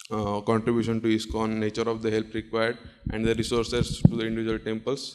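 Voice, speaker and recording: A man talking at a very fast pace in monotone, flat intonation, with noticeable background noise. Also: medium pitch for a man. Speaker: doctor giving a talk. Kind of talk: conference presentation. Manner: halting, with frequent fillers.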